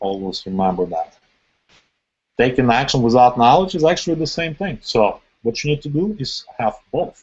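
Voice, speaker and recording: A man speaks at a moderate pace in a medium pitch, his voice swinging very widely up and down. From Ukraine or Russia. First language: Russian or Ukrainian. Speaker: internet marketing trainer. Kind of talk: webinar training presentation.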